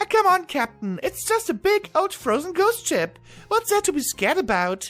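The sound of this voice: This put-on character voice is squeaky and pitched extremely high. Faint music plays in the background. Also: moderate pace.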